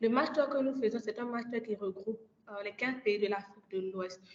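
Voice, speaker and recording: This is a woman's voice, pitched fairly high. The rise and fall of her pitch is ordinary. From Côte d'Ivoire. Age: 20s. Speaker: energy master's student and climate ambassador. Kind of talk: podcast interview.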